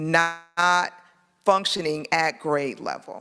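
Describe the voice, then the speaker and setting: A woman's plain, everyday voice, fairly low in pitch with fairly even intonation, in a very clean recording with a silent background. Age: 50s. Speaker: political candidate. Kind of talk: campaign speech.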